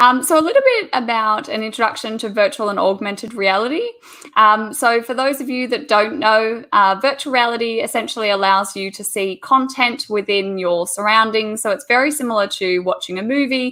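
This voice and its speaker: A woman with an Australian accent talks at a fairly quick pace with hardly any pauses, her fairly high voice showing ordinary pitch variation. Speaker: teacher. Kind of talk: online presentation.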